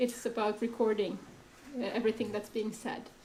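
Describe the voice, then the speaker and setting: A woman speaks with monotone, flat intonation. Audible room echo surrounds her voice. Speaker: panel moderator, critic. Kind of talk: panel discussion moderation. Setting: stage with audience, microphone.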